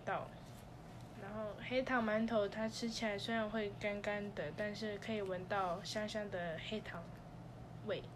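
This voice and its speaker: Audible room echo surrounds a woman speaking at a fairly slow pace. Her fairly high pitch holds fairly even intonation. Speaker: student podcast host. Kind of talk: scripted podcast monologue.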